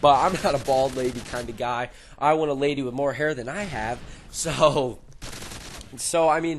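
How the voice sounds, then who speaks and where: A man with long, frequent pauses, amid noticeable background noise. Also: fairly high pitch for a man, ordinary pitch variation, moderate pace. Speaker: gaming YouTuber. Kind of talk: casual commentary over gameplay. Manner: loud; halting.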